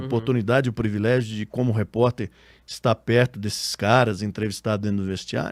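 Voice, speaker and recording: Recorded dry and close with no echo on a very clean, silent background, a man with a normal speaking voice talks at a fairly quick pace, fairly low in pitch with fairly even intonation. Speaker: radio sports announcer, podcast guest. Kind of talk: interview answer.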